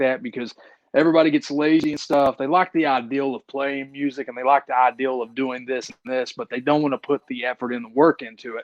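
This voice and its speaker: Speaking at a fairly quick pace with a strong Appalachian accent, a man with fairly high pitch and ordinary pitch variation sounds dry and close with no echo against a quiet background. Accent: thick Appalachian hillbilly. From eastern Kentucky, Appalachian mountains. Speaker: independent wrestler. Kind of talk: podcast interview.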